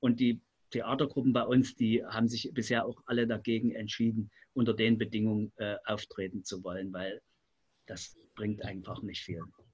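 A man with a plain, everyday voice talks at a moderate pace and medium pitch, his intonation fairly even and his loudness swinging widely. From Leipzig, eastern Germany. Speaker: community centre director. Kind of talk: radio panel discussion.

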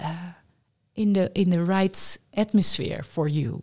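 A woman speaks in a Dutch accent at a fairly slow pace. Her voice sits at a medium pitch with ordinary variation. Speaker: humanist workshop leader. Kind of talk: interview.

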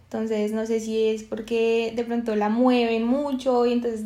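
Heard with audible room echo, a woman speaks in a dark, mellow tone at a fairly high pitch, her intonation flat and monotone. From Colombia, Bogotá. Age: 20s. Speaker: psychologist and podcast co-host. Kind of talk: casual chat.

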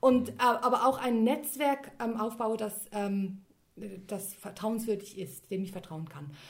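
Speaking very slowly with long, frequent pauses, a woman uses lively intonation and a fairly high pitch. Her voice is somewhat breathy, and her loudness swings widely. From Switzerland. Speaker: linguist and copywriter. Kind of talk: interview.

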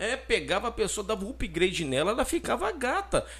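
At a moderate pace, a man talks with a Brazilian accent. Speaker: podcast co-host. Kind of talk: casual chat.

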